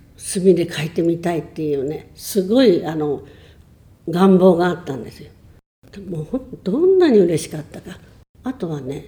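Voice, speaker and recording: A woman speaks at a moderate pace with a fairly low pitch, a dark, mellow tone, a somewhat breathy quality and lively intonation. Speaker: churchgoer sharing faith story. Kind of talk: testimony.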